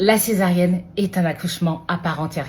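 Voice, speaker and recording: Speaking rather quickly, a woman has a slightly breathy voice. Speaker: midwife. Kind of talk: encouraging talk to camera. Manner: casual, with hesitations.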